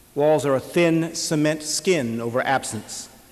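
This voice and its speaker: A man with an American accent talks at a fairly slow pace over noticeable background noise. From Lakewood, California. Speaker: writer. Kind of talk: memoir reading.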